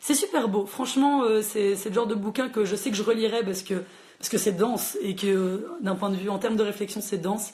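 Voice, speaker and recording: A woman with a fairly high pitch speaks in a somewhat breathy voice. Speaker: librarian hosting a book chat. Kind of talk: live social media book chat. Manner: fast; animated.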